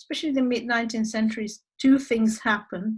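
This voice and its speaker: A woman speaks in a fairly high, somewhat breathy voice. The background is quiet. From Argentina. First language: Spanish. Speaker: human rights expert. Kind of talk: lecture. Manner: halting.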